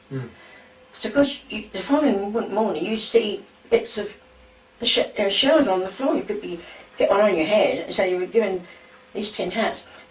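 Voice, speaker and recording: A woman's fairly high, lively voice with a London accent, long and frequent pauses, and noticeable background noise. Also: moderate pace. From London, England. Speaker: war eyewitness. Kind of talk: oral history reminiscence.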